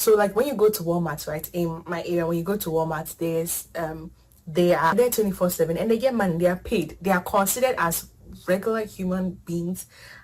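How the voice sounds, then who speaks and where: A woman talks fairly quickly in a somewhat breathy voice, her pitch varying in an ordinary way. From Ghana. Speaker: international student. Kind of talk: casual chat.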